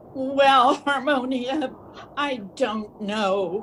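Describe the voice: A female-sounding voice puts on a character voice with a high pitch. Clear background noise is present.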